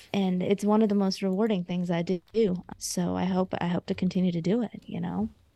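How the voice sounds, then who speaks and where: In a dry, close sound with no echo, a woman with a plain, everyday voice and an American accent speaks at a medium pitch and a fairly quick pace, with fairly even intonation and hardly any pauses. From India, then Georgia (US South). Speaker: physician and personal finance writer. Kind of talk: interview conversation.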